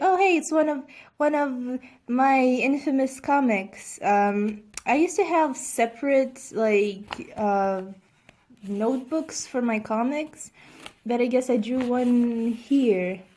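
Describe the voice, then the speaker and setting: This woman's voice is high-pitched with a dark, mellow tone. Her intonation is lively, and the recording is very clean with a silent background. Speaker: YouTuber, artist. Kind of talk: casual vlog commentary. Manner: halting, many fillers and restarts.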